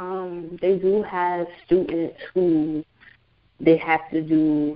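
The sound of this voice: With an American accent, the woman talks.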